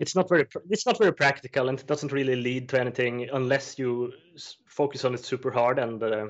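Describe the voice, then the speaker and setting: At a fairly quick pace, a man with a Swedish accent talks at a medium pitch. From Sweden, Östersund countryside. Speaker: juggler and prop maker. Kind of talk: interview. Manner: halting, many fillers.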